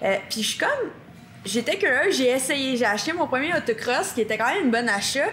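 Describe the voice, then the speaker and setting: A woman talks at a very fast clip in a high voice with lively intonation, over noticeable background noise. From Quebec. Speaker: monster truck driver. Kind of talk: podcast interview. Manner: energetic.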